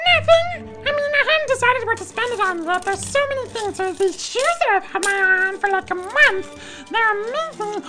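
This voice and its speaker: Clear music plays behind a woman doing a put-on character voice, squeaky and extremely high-pitched. Her tone is theatrical, and her intonation is lively. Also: moderate pace. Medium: stage play. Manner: theatrical, gushing.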